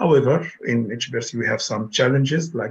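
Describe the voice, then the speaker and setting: At a moderate pace, a man speaks at medium pitch in a somewhat breathy voice with ordinary pitch variation. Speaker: architecture professor. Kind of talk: presentation.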